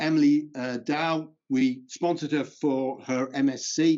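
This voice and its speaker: At a very slow pace, a man talks in a fairly high pitch with fairly even intonation. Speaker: conservation charity founder. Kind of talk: conference presentation. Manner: halting, many fillers.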